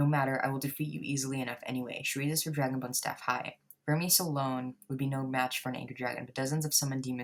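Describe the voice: The clip is a plain read-aloud. Its intonation is fairly level.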